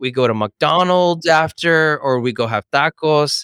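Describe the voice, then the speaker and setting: A man with a Californian accent talks in an animated tone, his pitch fairly high and his tone bright and sharp. The sound is dry and close, with no echo. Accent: Californian American English. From Los Angeles, US. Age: 30s. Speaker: real estate broker and author. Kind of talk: podcast interview.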